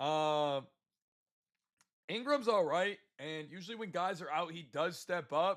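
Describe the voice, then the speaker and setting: A man's unremarkable speaking voice with ordinary pitch variation. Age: 20s. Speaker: sports betting streamer. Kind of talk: sales pitch; livestream chat with viewers. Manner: casual, many filler words.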